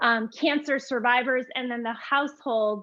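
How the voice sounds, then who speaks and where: A woman speaks in a high pitch with a slight Vermont accent. Her pace is moderate and her intonation monotone and flat. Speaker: yoga teacher. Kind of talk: live yoga class instruction. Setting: live online class. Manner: casual, with frequent fillers.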